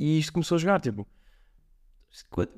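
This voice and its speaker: A man's dark, mellow voice with a European Portuguese accent, very fast and lively in intonation. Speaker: amateur triathlete. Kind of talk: casual chat.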